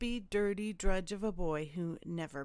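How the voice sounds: Reading in a natural reading voice, the speaker uses ordinary pitch variation.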